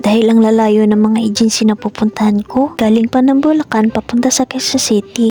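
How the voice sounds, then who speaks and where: Against noticeable background noise, a woman with a Visayan accent talks at a fairly quick pace, her fairly high voice keeping a fairly even intonation. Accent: Visayan accent in Tagalog. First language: Bisaya (Cebuano) (speaking Tagalog). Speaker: vlogger, aspiring worker in Japan. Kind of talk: vlog narration.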